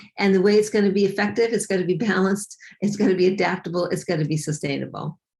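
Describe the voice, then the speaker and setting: At a very fast pace, a woman speaks with medium pitch, fairly even intonation and a somewhat breathy sound. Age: 60s. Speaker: fitness and weight loss coach. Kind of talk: interview.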